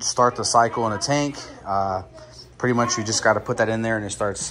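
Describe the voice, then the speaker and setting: Light background noise beneath a man talking with ordinary pitch variation. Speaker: hobbyist vlogger. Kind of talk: casual vlog chat. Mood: upbeat, enthusiastic. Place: home room. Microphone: phone near.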